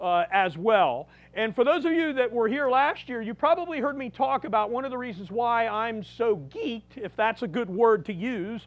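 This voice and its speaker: Against a quiet background, a man speaks loudly at a moderate pace with hardly any pauses, his voice extremely high for a man and his intonation lively. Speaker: museum director and battlefield guide. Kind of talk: public lecture.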